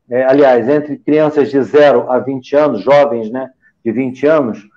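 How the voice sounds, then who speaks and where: This man has a dark, mellow tone at a fairly high pitch and talks at a moderate pace. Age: 60s. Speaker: physician. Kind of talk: panel discussion.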